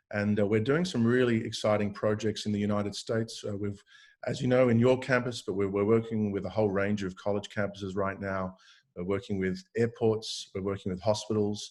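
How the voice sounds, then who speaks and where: A man races along at a very fast pace in an Australian accent. His fairly low voice stays monotone and flat over a quiet background. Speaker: tech company founder and CEO. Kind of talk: interview discussion.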